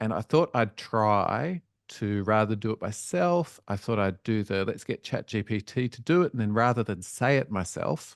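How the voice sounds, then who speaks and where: A man speaks with an Australian accent and lively intonation. The sound is dry and close with no echo, over a quiet background. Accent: Australian, rising inflection. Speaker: education researcher. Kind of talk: webinar presentation. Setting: online webinar. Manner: casual, conversational.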